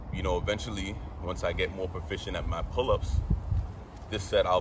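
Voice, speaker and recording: Noticeable noise fills the background. A man talks very fast. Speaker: fitness creator. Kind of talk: casual vlog chat. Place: garden.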